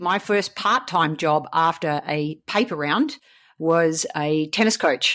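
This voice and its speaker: The background is quiet as a woman talks with an Australian accent. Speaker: coach and speaker. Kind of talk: interview. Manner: animated.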